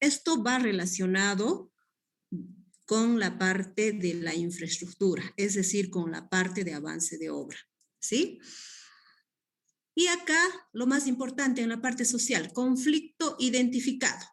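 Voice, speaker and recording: The speaker's pitch swings very widely at a fairly slow pace, broken by long, frequent pauses. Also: woman, fairly high pitch for a woman. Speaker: guest lecturer on community development. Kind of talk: online class lecture. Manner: hesitant, many fillers.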